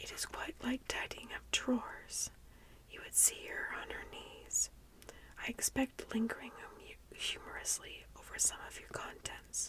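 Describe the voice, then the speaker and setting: A woman is whispering. Her pace is fairly slow. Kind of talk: whispered book reading, tingly ASMR. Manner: whispered, soft-spoken.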